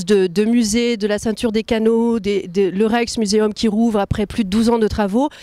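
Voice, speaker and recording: At a moderate pace, the woman talks in a fairly high voice. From France. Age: 30s. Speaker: translator and elected representative of French expatriates. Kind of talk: interview answers. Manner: hesitant, many filler sounds.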